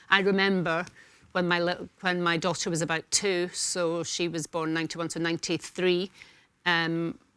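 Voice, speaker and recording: Recorded very cleanly against a silent background, a woman with a fairly low pitch and a bright, sharp tone talks at a moderate pace with monotone, flat intonation. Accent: Scottish. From Scotland. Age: 60s. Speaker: talk show panelist. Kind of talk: casual chat. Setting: studio.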